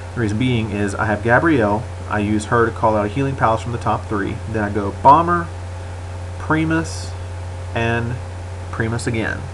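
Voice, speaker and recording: A man speaks in a room with audible echo. Noticeable background noise runs underneath. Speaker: gaming commentator. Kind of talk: gameplay commentary. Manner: stuttering a little; casual.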